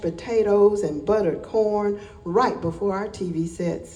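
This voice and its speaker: A woman with a Southern US accent speaks at a fairly slow pace in a medium pitch, with noticeable background noise. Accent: Southern American. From Alabama. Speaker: poet. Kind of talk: poetry reading.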